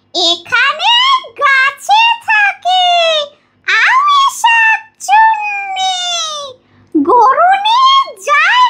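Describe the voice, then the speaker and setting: A woman uses a put-on character voice pitched extremely high. She speaks at a very slow pace. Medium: tutorial demo.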